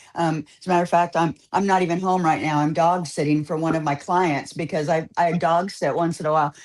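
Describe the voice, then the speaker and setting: Here a woman with an American accent and a fairly low pitch speaks at a fairly quick pace with hardly any pauses. Her intonation is flat and monotone, her loudness very even, and the background quiet. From California. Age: 60s. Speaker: barber. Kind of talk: casual chat.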